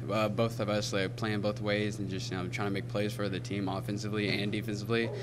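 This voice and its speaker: Over noticeable background noise, a man talks at a very fast pace in a flat, monotone delivery. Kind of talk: interview answer. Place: hall. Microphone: handheld.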